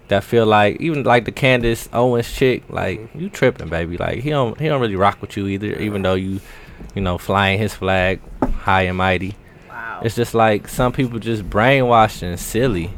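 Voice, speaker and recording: Noticeable background noise runs under a man speaking at a moderate pace, his pitch fairly low with ordinary variation. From Milwaukee, Wisconsin. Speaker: podcast guest. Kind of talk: casual chat.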